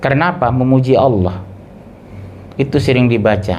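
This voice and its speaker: Audible room echo and noticeable background noise surround a man speaking at a fairly slow pace with ordinary pitch variation. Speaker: Islamic preacher. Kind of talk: sermon. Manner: conversational, engages audience.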